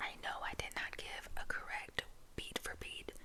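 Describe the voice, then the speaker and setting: Someone whispers over noticeable background noise. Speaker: ASMR creator. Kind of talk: ASMR whispered storytelling. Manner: whispering; casual, halting with fillers.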